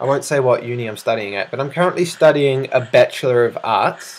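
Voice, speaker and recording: Noticeable background noise is audible. Over it, a man's pitch varies in an ordinary way. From South Africa. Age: 20s. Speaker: gaming video creator and student. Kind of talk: casual Q&A vlog. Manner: casual with many fillers.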